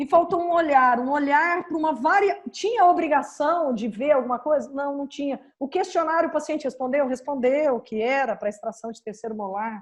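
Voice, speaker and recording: A woman with a high pitch talks at a moderate pace with hardly any pauses, her intonation lively and her loudness swinging widely. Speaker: dental radiology professor. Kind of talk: lecture.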